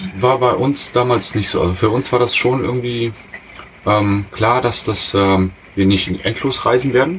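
With noticeable background noise behind him, a man speaks at a fairly slow pace and medium pitch, with ordinary pitch variation and very even loudness. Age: 30s. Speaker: industrial mechanic, traveller. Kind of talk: casual interview. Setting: in a motorhome. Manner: hesitant, many fillers.

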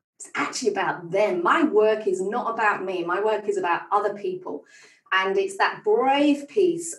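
The speaker talks at a moderate pace with a northern English accent and lively intonation. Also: woman. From northern England. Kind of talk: podcast interview. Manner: animated.

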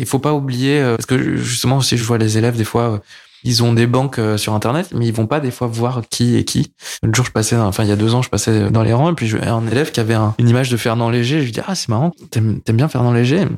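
An unremarkable speaking voice moves at a fairly quick pace with fairly even intonation and very even loudness, on a very clean recording with a silent background. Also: man, medium pitch for a man. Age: 30s. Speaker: comic artist and filmmaker. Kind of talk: casual interview chat. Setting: his production company offices.

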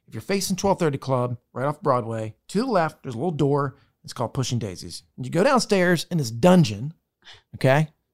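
An animated, energetic man at a fairly high pitch, lively in intonation and moderate in pace, on a very clean, dry, close recording with a silent background and no echo. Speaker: podcast host. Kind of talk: casual interview chat. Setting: studio.

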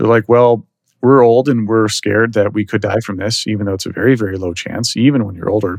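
This speaker has an American accent and talks at a very fast pace. The intonation stays fairly even. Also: man, fairly low pitch for a man. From Texas, Dallas. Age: 30s. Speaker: bitcoin entrepreneur. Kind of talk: podcast interview.

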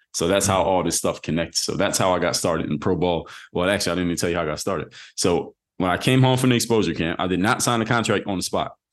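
Very fast speech in a Philadelphia accent, with ordinary pitch variation against a quiet background. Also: man, very deep, low pitch for a man. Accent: Philadelphia American English. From US Northeast, Philadelphia. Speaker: former pro basketball player turned entrepreneur. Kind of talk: interview.

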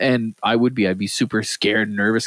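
With an Atlantic Canadian accent, a man talks at a fairly quick pace in a dry, close sound with no echo. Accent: east coast Canadian, mistaken for Southern US. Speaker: podcast co-host. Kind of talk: casual banter among friends.

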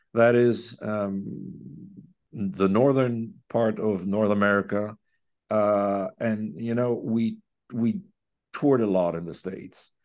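Someone with a Quebec accent speaks very slowly with long, frequent pauses and ordinary pitch variation. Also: man, fairly low pitch for a man, quiet background. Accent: Québécois French-accented English. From Quebec City. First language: French. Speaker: orchestra conductor. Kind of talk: interview conversation. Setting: remote call. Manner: halting.

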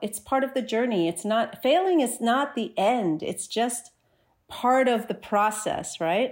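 Recorded very cleanly against a silent background, a woman speaks with a New Jersey accent. Her pitch is fairly high and her pace fairly slow. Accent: American, New Jersey. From US Northeast, New Jersey. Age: 40s. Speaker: skateboarder and social media creator. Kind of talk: podcast interview.

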